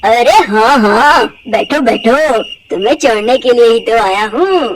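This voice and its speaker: Putting on a cartoonish character voice, a man speaks at an extremely high pitch and a fairly slow pace. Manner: smooth, falsely friendly.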